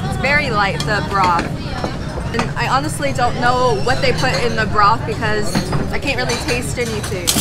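Clear music plays behind a woman's voice. She speaks at a moderate pace. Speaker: food vlogger. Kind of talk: casual vlog chat. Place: cafe. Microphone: phone near.

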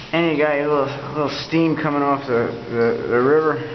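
Ordinary pitch variation is heard alongside light background noise and audible room echo. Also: man. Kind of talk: casual vlog chat. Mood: laid-back, rambling. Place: tunnel cave. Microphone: phone near.

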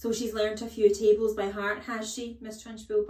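A natural voice reading aloud, intonation fairly level

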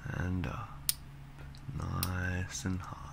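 Noticeable background noise sits under the recording. A man speaks at a very slow pace. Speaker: ASMR artist. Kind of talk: ASMR relaxation talk for sleep. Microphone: studio mic.

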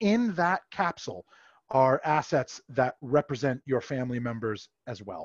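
Against a quiet background, a man speaks at a fairly slow pace, the sound dry with no echo. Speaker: presenter. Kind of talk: presentation. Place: home room. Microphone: headset.

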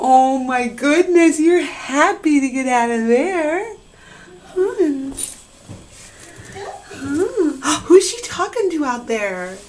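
With light background noise, a woman speaks at a very slow pace using very wide pitch swings. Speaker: mother. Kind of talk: casual talk to pet. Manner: baby voice to pets. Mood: warm, excited. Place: bathroom. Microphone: phone near.

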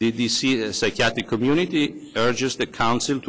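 A man speaks with a non-native accent. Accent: foreign. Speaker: psychiatrist. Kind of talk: testimony. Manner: formal.

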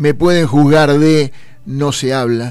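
A man with a normal speaking voice, medium pitch and fairly even intonation, at a fairly slow pace. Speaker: radio host. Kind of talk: casual chat.

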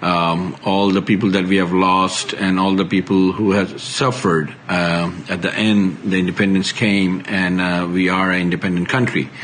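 A man with a Bengali accent speaks at a very deep, low pitch and a moderate pace, with hardly any pauses. His intonation is monotone and flat, his loudness very even, over light background noise. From Bangladesh. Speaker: IT consultant. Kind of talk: recorded video message. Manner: halting. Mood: earnest, formal, proud. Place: home room. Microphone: phone near.

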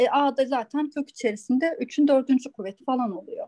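A woman speaks in a high voice with a dark, mellow tone and lively intonation. The sound is dry and close, with no echo. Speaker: student. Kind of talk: explaining a solution. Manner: halting.

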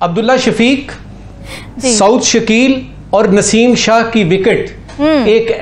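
This man's high voice moves at a very slow pace. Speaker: panelist. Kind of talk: TV panel commentary. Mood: critical, earnest. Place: studio. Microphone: lapel.

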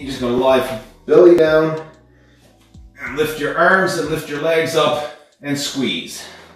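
Over faint music in the background and strong room echo, a man talks at a fairly slow pace with fairly even intonation. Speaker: fitness instructor. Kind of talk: tutorial. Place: gym.

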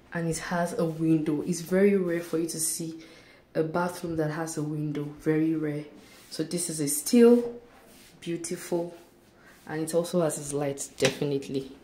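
A woman at a moderate pace with fairly even intonation, audible room echo around her voice. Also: fairly low pitch for a woman. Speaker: vlogger touring an apartment. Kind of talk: casual vlog chat. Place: bathroom. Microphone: phone near.

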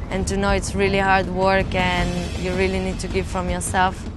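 A woman with an Israeli accent speaks at a moderate pace. The sound is dry with no echo, though noticeable background noise is present. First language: Hebrew. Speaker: professional tennis player. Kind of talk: interview answer. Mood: calm, earnest. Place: open country.

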